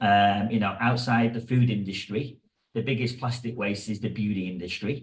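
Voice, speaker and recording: A man with an English accent speaks at a moderate pace, his medium-pitched voice somewhat breathy and his intonation fairly even. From England. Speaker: hairdresser and educator. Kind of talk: podcast interview.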